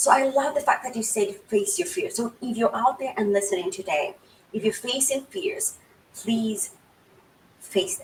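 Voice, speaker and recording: A woman talks at a moderate pace in a fairly high voice. Her pitch swings very widely and her loudness shifts in big swings. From Kenya. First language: Swahili and a mother tongue. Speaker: tech author and host. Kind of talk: interview. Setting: livestream.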